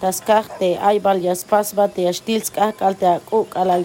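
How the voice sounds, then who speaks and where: Very slow speech from a woman, backed by music. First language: Mayan language (Tsotsil/Tseltal) (speaking Spanish). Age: 30s. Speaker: community member. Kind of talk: testimony.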